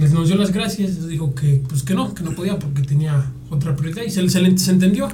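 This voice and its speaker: A man with a fairly high voice and ordinary pitch variation talks at a moderate pace amid noticeable background noise and audible room echo. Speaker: guitarist in a rock band. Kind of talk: casual chat.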